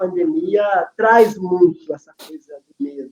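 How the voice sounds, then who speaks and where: Delivered at a fairly slow pace, the voice has a dark, mellow tone and lively intonation. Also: man. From Brazil. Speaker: family constellation facilitator, educator. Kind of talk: casual chat, online live talk.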